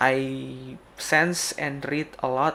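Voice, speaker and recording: A man with a medium pitch speaks with a non-native accent and fairly even intonation. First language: Indonesian. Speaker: game developer streamer. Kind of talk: casual live stream talk. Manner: halting, many fillers.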